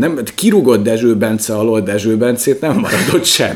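Lively intonation in a medium-pitched male voice. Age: 30s. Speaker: podcast co-host. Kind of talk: casual chat. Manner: animated.

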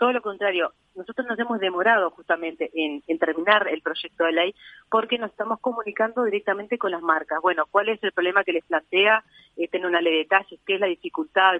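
A woman with a Uruguayan accent talks fairly quickly at a medium pitch, her pitch varying in an ordinary way. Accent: Rioplatense Spanish (Uruguayan). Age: 30s. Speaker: model and activist. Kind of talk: interview.

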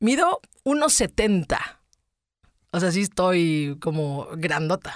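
In a Mexican accent, a woman with a medium pitch speaks in an animated tone with very wide pitch swings, the sound dry and close with no echo. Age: 40s. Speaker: podcaster. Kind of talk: personal monologue.

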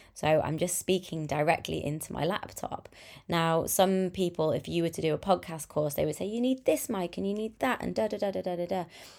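With a plain, everyday voice, a woman speaks fairly quickly at a fairly low pitch with ordinary pitch variation, on a very clean recording with a silent background. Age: 30s. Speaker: podcast host and business coach. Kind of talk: solo podcast monologue. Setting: speaking into a laptop at home. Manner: relaxed, conversational with fillers.

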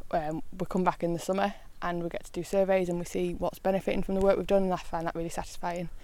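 Talking very fast with a Yorkshire accent, a woman has a fairly low, dark, mellow voice and a flat, monotone delivery. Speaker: countryside ranger. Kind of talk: interview. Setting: outdoors.

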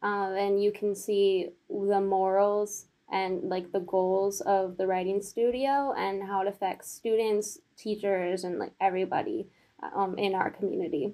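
A woman speaks at a fairly slow pace in an unremarkable speaking voice. Her pitch is medium and her intonation fairly even. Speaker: design student and writing tutor. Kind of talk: casual interview.

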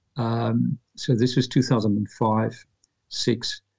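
A man's voice, dry and close with no echo. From South Africa, Pretoria. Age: 50s. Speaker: author. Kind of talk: interview.

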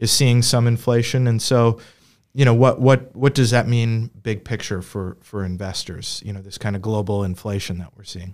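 Fairly low in pitch, this man has an ordinary speaking voice with fairly even intonation. The recording is very clean, with a silent background. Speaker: podcast host and financial advisor. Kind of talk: casual business discussion. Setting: studio, seated together.

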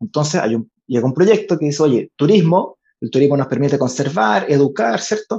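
In a dry, close sound with no echo, a man with a somewhat breathy, dark and mellow tone speaks at a moderate pace, his fairly high pitch carrying lively intonation. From Chile, Valparaíso / Viña del Mar. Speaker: political candidate and NGO director. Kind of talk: interview.

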